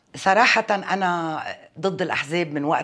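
A woman's voice against a quiet background. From Lebanon, Metn; Lebanon. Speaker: parliamentary candidate; candidate. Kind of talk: interview. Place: home room. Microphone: lapel.

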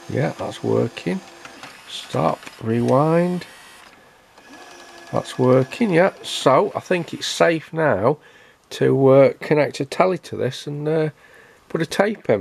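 A man with a fairly high pitch speaks slowly, with long, frequent pauses, a slightly husky edge, vocal fry and lively intonation.

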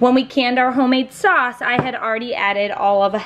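Fairly quick, high female speech. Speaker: home cook vlogger. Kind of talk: cooking tutorial. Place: kitchen. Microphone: phone near.

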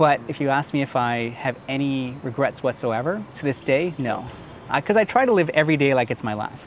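A man with an American accent talks at a fairly quick pace in a fairly high pitch, his voice dry with no echo over light background noise. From Oklahoma, US. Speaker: university lecturer and media entrepreneur; university lecturer. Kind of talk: interview. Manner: soft-spoken. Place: garden. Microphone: lapel.

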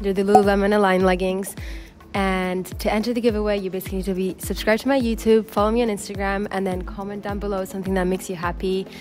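A woman at a very fast pace with faint music in the background. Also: big swings in loudness. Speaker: fitness vlogger. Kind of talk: casual vlog chat. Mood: cheerful, grateful. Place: garden.

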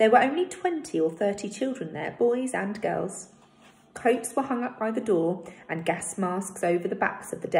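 An unforced voice reads with lively intonation.

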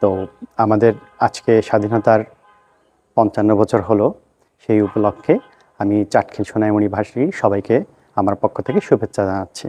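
A man speaks in a monotone with flat intonation and a fairly low pitch. Music plays in the background, and the sound is dry and close with no echo. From Bangladesh, Noakhali (Chatkhil). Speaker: parliamentary candidate. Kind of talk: campaign statement. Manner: halting.

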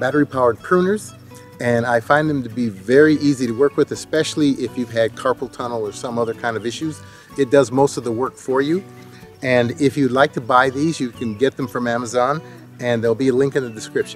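A man speaks at a fairly quick pace with ordinary pitch variation. Faint music sits in the background. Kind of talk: tutorial. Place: garden.

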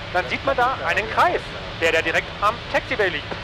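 A man's voice, dry with no echo, over music in the background. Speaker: pilot vlogger. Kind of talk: casual vlog chat. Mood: amused, laughs. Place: plane. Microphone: headset.

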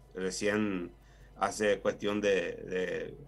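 Speaking in a Paraguayan accent, a man uses a fairly low pitch. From Paraguay, Itapúa. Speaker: agricultural engineer, plant health official. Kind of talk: expert interview. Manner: hesitant, many fillers. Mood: calm, explanatory. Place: office. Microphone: video call.

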